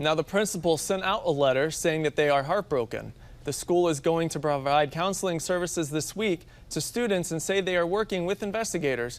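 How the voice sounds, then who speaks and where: A man with an ordinary speaking voice talks at a fairly quick pace, his pitch fairly high with ordinary variation. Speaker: TV news anchor. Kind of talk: TV news read.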